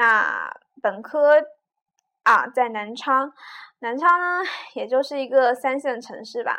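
Against a quiet background, a woman's bright, sharp, high voice is raised and projected, very slow with long, frequent pauses and big swings in loudness. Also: ordinary pitch variation. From China, Jiujiang, Jiangxi. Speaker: podcaster. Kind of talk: casual monologue. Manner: halting, many fillers.

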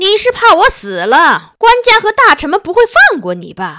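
Put-on character voice from a woman, pitched extremely high, delivered at a moderate pace. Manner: harsh, scolding.

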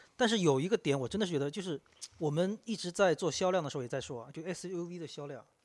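This man talks at a very fast pace with a high pitch and ordinary pitch variation. His loudness swings widely. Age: 40s. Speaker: podcast guest discussing cars. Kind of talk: casual chat.

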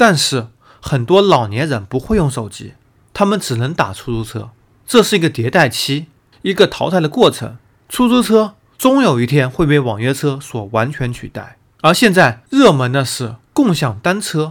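On a very clean recording with a silent background, a man talks at a moderate pace. His pitch is fairly high and moves in very wide swings. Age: 30s. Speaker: podcast host and news commentator. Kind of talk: solo news analysis commentary.

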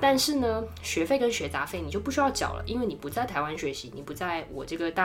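A woman talks at a very fast pace in an animated tone. Noticeable background noise runs behind her. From Taiwan. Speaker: marketing professional. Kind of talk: casual interview chat, storytelling. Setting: studio.

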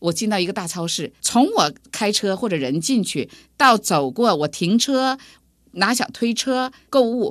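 A woman with a northern Chinese accent speaks at a fairly slow pace and a fairly high pitch. Her pitch swings very widely against a quiet background. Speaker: computer science professor, dean. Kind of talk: interview.

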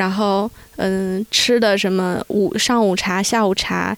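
A woman's normal speaking voice, medium in pitch with ordinary pitch variation. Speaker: mother living abroad. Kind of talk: casual chat.

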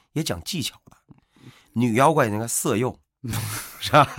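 An animated tone with vocal fry comes through at a fairly quick pace on a very clean recording with a silent background. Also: man. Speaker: podcast co-host discussing classic novel. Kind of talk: casual chat.

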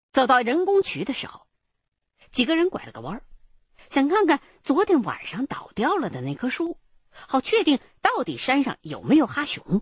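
Recorded dry and close with no echo, a woman speaks at a moderate pace in a high voice, with very wide pitch swings and long, frequent pauses. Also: big swings in loudness. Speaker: narrator. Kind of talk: fiction audio drama narration, first-person storytelling. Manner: immersive, suspenseful storyteller with a measured pace, building eerie mystery; conversational, colloquial Northern Mandarin, with rhetorical questions and wry asides.

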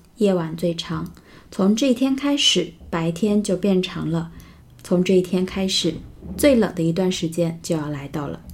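A woman speaks in a fairly low, somewhat breathy voice. Her pace is fairly slow and her intonation lively. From northern Jiangsu, China (Xuzhou). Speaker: English teacher podcaster. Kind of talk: language lesson explaining news. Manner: slow, repeating words for learners.

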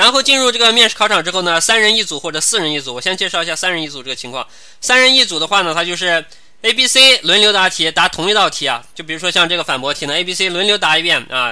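Lively intonation carries speech delivered at a very fast pace. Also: man, high pitch for a man. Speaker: civil service interview tutor. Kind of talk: online lecture. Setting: live online class platform.

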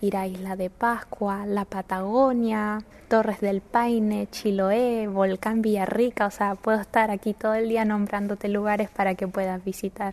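A woman speaks in a flat monotone at a medium pitch. Her pace is fairly slow, with hardly any pauses. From northern Chile, La Serena. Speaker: university student. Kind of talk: interview.

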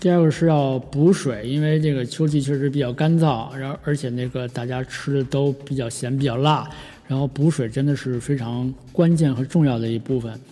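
A man at a moderate pace, fairly even intonation, noticeable background noise behind him. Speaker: podcast host. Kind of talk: solo casual podcast talk. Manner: many fillers and hesitations.

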